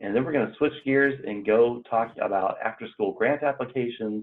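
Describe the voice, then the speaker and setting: A plain, everyday voice from a man with a medium pitch, ordinary pitch variation and a fairly quick pace. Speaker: extension educator leading staff onboarding. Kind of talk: online training meeting. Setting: video call.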